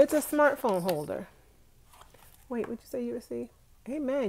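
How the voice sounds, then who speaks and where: Speaking with an American accent, a woman keeps a fairly quick pace at a fairly high pitch. Her pitch swings are very wide. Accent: New York accent comes out with relatives. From New York, Brooklyn (Flatbush). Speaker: vlogger. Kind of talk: live stream chat. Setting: home, sitting on bed. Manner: animated.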